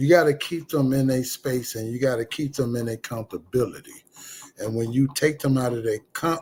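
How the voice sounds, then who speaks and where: The voice is somewhat breathy, with ordinary pitch variation. It keeps a moderate pace. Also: man. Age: 50s. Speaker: livestream host. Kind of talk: casual chat. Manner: halting.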